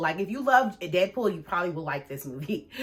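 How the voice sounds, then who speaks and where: Over noticeable background noise, the speaker talks in an animated tone at a very fast pace. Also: woman. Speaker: movie reviewer. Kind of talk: casual vlog review.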